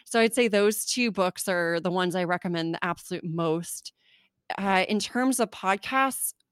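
A woman with a Southern California accent talks at a moderate pace and medium pitch, with ordinary pitch variation. The recording is very clean with a silent background, and the sound is dry and close with no echo. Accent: Southern California, Valley Girl. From US West Coast, California (Orange County). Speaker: podcaster and copywriter. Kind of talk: casual interview chat.

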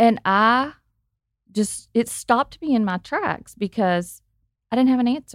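With an Arkansas accent, a woman talks at a fairly high pitch with ordinary pitch variation and long, frequent pauses, the sound dry and close with no echo. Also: fairly slow pace. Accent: Arkansas Southern. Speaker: guest sharing personal story. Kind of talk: casual chat.

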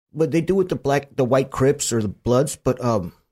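On a very clean recording with a silent background, a man with an American accent talks at a moderate pace in an unremarkable speaking voice, his pitch medium with ordinary variation. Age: 40s. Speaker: former gang member and prisoner. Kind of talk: casual chat.

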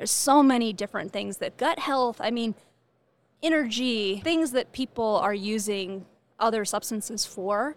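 This woman has an ordinary speaking voice with a fairly high pitch and ordinary pitch variation, talking at a moderate pace in a very clean recording with a silent background. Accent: American. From California. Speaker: cannabis company executive. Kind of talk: interview. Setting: trade show.

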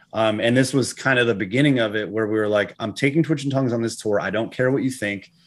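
This man has an ordinary speaking voice with an American accent, a medium pitch and ordinary pitch variation, set against a quiet background. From New England, US. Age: 40s. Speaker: metal band frontman. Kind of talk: casual chat. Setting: video call.

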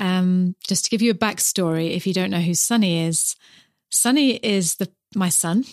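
In a very clean, dry, close recording with no echo and a silent background, a woman with a New Zealand accent speaks at medium pitch and a moderate pace with ordinary pitch variation. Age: 50s. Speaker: podcast host and mother. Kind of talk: podcast intro monologue; casual chat.

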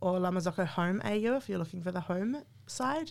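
In a New Zealand accent, a woman with a fairly low pitch and ordinary pitch variation talks at a fairly quick pace on a very clean recording with a silent background. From New Zealand, small town. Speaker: coffee machine brand marketing manager. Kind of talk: casual interview. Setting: in person at a venue.

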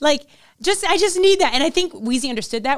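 The recording is very clean, with a silent background. A woman speaks with very wide pitch swings. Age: 20s. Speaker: podcast host and actress. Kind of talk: casual chat. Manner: harsh, aggressive tone.

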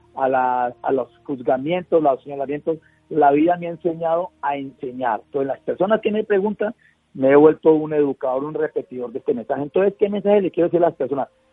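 Music plays in the background. A man talks at a fairly quick pace with a fairly high pitch and ordinary pitch variation. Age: 60s. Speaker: patient advocate and journalist. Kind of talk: radio interview. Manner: halting.

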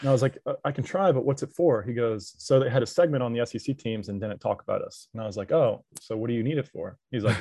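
A man talks very fast with hardly any pauses, his somewhat breathy voice dark and mellow in tone at medium pitch, with ordinary pitch variation and big swings in loudness. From Louisiana. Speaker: student and college sports social media worker. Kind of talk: casual chat.

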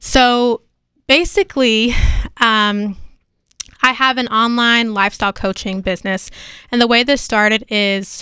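A woman speaks in a bright, sharp tone with fairly even intonation. The sound is dry and close, with no echo. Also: very clean recording, silent background. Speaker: entrepreneur. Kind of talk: casual chat. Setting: studio.

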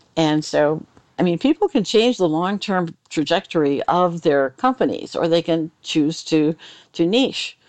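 A woman with a normal speaking voice and fairly low pitch talks fairly slowly with lively intonation and very even loudness, in a dry, close sound with no echo over a quiet background. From Michigan, US. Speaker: accounting consultant and trainer. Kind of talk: interview, explanatory.

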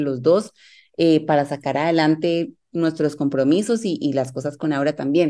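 A woman talks at a moderate pace in a very deep, low pitch. The background is quiet. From Colombia, Medellín. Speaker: life coach and yoga teacher, mother. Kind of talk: casual interview chat.

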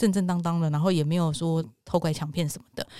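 The tone is dark and mellow. The words come at a very fast pace. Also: woman. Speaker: podcast host. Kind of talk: casual chat. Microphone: new microphone.

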